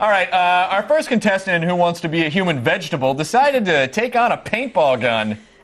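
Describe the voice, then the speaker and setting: Speaking at a fairly quick pace with hardly any pauses, a man uses a high pitch and very wide pitch swings. His loudness stays very even, and there is noticeable background noise. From US South. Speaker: tv host. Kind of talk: casual banter.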